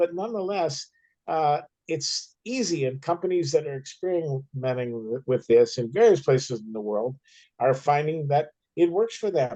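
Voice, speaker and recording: Using lively intonation, a man with an American accent speaks in a dark, mellow tone at a fairly high pitch. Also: moderate pace. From United States. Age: 70s. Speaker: author and filmmaker, activist. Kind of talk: Q&A discussion. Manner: halting, with repetitions.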